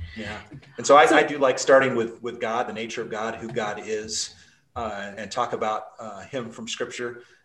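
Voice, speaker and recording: In an ordinary speaking voice, a man with an American accent talks at a moderate pace and medium pitch, his intonation fairly even and his loudness swinging widely. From Utah (Salt Lake City). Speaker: pastor. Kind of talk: interview.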